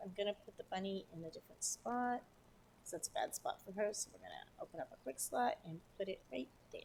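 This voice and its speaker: Her fairly high voice swings very widely in pitch as this woman speaks. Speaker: gaming streamer. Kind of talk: live game stream commentary. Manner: fast; chatty, scattered.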